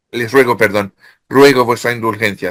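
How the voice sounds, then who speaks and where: On a very clean recording with a silent background, a man speaks at a moderate pace with a medium pitch and ordinary pitch variation. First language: French (speaking Spanish). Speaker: author. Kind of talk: interview. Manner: halting.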